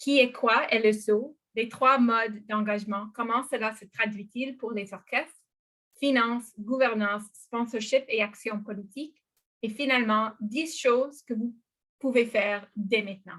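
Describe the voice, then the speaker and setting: A woman with a non-native accent speaks at a fairly slow pace in a fairly high voice, her intonation fairly even but her loudness swinging widely. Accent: non-native French accent, anglophone. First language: English (speaking French). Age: 40s. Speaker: arts organization co-founder. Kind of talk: presentation in online public meeting. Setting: video call from bedroom. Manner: halting, many hesitations.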